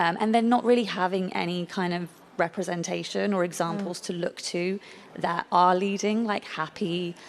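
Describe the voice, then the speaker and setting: Speaking with a British accent, a woman keeps a fairly low pitch, a moderate pace and fairly even intonation. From Britain. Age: young. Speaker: patient advocate. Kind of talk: personal testimony at a conference.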